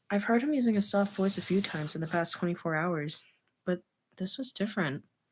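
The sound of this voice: Quiet background beneath an unforced reading voice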